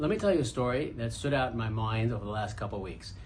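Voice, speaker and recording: A man with an American accent talks at a very fast pace and a medium pitch, with ordinary pitch variation. His voice is somewhat breathy, and the room echo is audible. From Brooklyn, New York. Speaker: podcast host, entrepreneur. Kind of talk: casual monologue.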